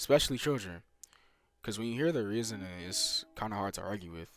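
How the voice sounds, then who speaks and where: Music plays in the background while a man talks at a fairly quick pace. His pitch is fairly low, with ordinary variation. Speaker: YouTuber commentator. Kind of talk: casual commentary over gameplay. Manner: stuttering, filler-heavy.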